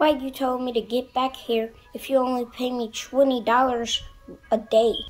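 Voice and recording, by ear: In a cartoonish character voice, a female-sounding voice speaks fairly slowly at a high pitch with monotone, flat intonation.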